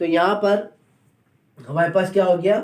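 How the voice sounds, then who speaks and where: High-pitched male voice, dark and mellow in tone. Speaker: chemistry teacher. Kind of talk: lecture. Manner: slow; repetitive question-and-answer teaching style.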